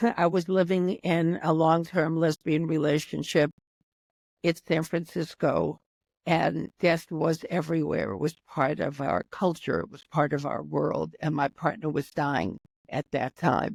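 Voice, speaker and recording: With a very deep, low pitch and vocal fry, a woman talks at a fairly slow pace and with fairly even intonation, in a dry, close sound with no echo. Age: 80s+. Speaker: author. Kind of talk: interview answer.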